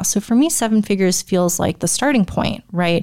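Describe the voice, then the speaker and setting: A woman at a medium pitch and fairly quick pace, an unremarkable speaking voice. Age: 20s. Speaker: online business coach. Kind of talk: solo podcast monologue. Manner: casual, conversational.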